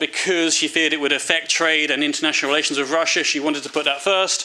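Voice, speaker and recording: In a British accent, the speaker goes very fast with monotone, flat intonation over noticeable background noise. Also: man. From United Kingdom. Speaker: foreign policy analyst. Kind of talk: seminar talk. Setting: seminar with audience. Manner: hesitant, many fillers and repetitions.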